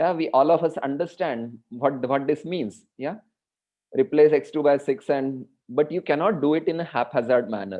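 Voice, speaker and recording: A man with an ordinary speaking voice talks at a fairly high pitch and moderate pace, his pitch varying in an ordinary way. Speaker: mathematics lecturer. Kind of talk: online lecture.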